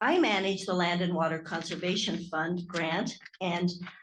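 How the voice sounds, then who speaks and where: A woman speaks in a somewhat breathy voice. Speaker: state parks grant manager. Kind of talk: conference presentation. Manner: soft-spoken.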